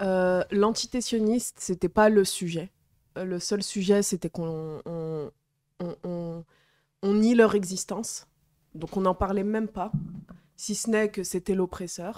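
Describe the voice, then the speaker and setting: A woman's dark, mellow tone at a very slow pace, with fairly even intonation, long, frequent pauses, and a quiet background. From Algerian background. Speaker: activist. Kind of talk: casual chat. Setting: live stream studio. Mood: serious, engaged. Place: home room. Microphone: handheld.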